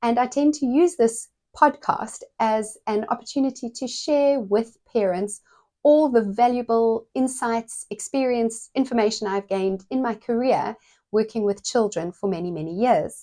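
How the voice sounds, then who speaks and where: Over a silent background on a very clean recording, a dark, mellow voice moves at a moderate pace with lively intonation. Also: woman. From South Africa. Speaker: paediatric physiotherapist and podcast host. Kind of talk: podcast monologue. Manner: conversational with frequent fillers.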